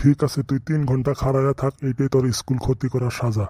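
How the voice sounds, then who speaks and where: In a gruff put-on character voice, a man speaks at medium pitch and a moderate pace with monotone, flat intonation and a dry, close sound with no echo. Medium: cartoon. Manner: gruff, scolding, crude.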